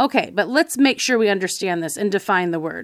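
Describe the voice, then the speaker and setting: In a dry, close recording with no echo, a woman with an ordinary speaking voice talks at a moderate pace, her medium pitch moving with lively intonation. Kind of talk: devotional talk.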